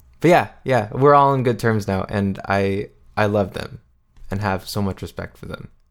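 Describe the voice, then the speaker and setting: Here is a man with a normal speaking voice, fairly low in pitch and at a moderate pace. His pitch variation is ordinary, while his loudness swings widely. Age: 20s. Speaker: singer-songwriter. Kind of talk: interview.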